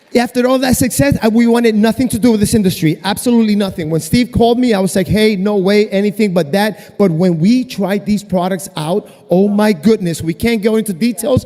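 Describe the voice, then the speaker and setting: A man's high-pitched, animated voice at a fairly quick pace, with ordinary pitch variation, very even loudness and hardly any pauses. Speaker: brand partner giving product testimony. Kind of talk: testimony on stage. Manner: fast.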